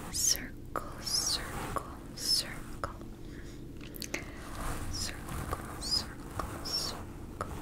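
Here a woman speaks in a whisper. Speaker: relaxation video host. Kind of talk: soft-spoken roleplay. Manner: soft, slow ASMR murmur. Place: home room.

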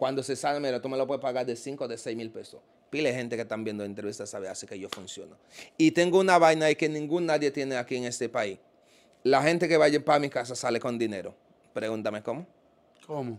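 Talking at a very fast pace, a man with a medium pitch and ordinary pitch variation shows big swings in loudness. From Dominican Republic. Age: 30s. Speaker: self-described witch doctor; interview guest. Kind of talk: interview. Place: home room. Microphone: handheld.

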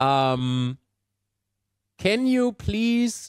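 A man with a German accent speaks with very wide pitch swings against a quiet background, in a dry sound with no echo. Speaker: gaming YouTuber; podcast host. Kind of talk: interview. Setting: video call. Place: home room. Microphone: headset.

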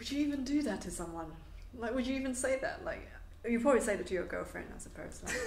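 A woman's high voice at a very fast pace, with very wide pitch swings, audible room echo and noticeable background noise. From Hong Kong. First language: Cantonese. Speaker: music therapist. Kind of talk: casual chat.

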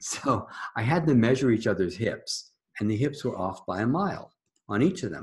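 Fairly quick, somewhat breathy speech from a man with lively intonation, over a quiet background. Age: 70s. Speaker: energy healing teacher. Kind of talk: interview. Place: home room. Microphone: webcam.

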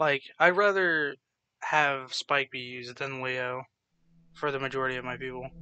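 Dry and close with no echo, a man's bright, sharp voice holds a medium pitch and a moderate pace, with fairly even intonation and big swings in loudness. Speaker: gaming YouTuber. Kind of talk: let's play commentary. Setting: home recording. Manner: casual, rambling with laughs.

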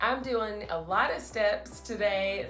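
Music plays behind a woman who talks at a very slow pace, with audible room echo. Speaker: home cleaning vlogger. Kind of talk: voice-over narration of a clean-with-me vlog.

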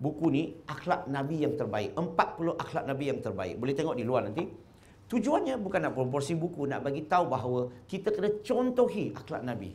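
At a fairly quick pace, a man speaks with a fairly high pitch and very wide pitch swings. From Malacca, Malaysia; Malaysia. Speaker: convert preacher; speaker. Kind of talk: religious talk to audience. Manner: animated, questioning audience. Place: hall. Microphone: lapel.

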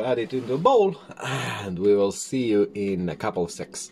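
Lively intonation carries along at a moderate pace over light background noise. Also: man. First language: not English. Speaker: YouTuber making a cooking video. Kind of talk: casual vlog tutorial. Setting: home kitchen. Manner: hesitant, many fillers. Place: kitchen. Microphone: phone near.

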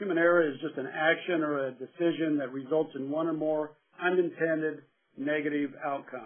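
This is a man with an unremarkable speaking voice. He talks at a moderate pace with fairly even intonation. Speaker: human factors expert witness. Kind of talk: webinar lecture. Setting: webinar audio broadcast.

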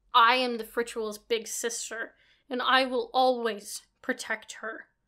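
Using a put-on character voice, a woman speaks at a high pitch with monotone, flat intonation, a hissing sound and a fairly slow pace. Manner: hissing, fierce, protective.

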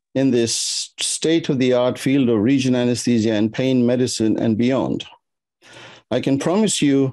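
At a moderate pace, a man with a dark, mellow tone speaks with ordinary pitch variation against a quiet background. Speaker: symposium host. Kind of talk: formal welcome speech. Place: home room. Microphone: webcam.

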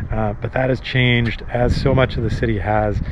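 A man is talking with a dry sound and no echo. Noticeable background noise is present. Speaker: local guide vlogger. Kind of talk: casual vlog chat. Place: street. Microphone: phone near.

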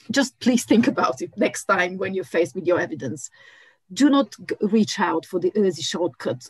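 Her voice somewhat breathy and medium in pitch, a woman speaks at a moderate pace with very wide pitch swings and big swings in loudness. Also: quiet background, dry sound with no echo. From Bulgaria. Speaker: archaeologist; speaker. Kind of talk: panel discussion. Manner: halting. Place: home room. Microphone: video call.

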